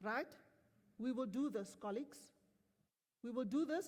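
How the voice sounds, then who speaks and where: A high-pitched woman with a South African accent and lively intonation. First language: Afrikaans. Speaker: company executive. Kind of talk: motivational speech to staff. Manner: animated.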